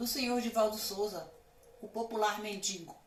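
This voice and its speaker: A woman speaks with audible room echo. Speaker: commentary channel host. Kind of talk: casual vlog commentary. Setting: street nearby.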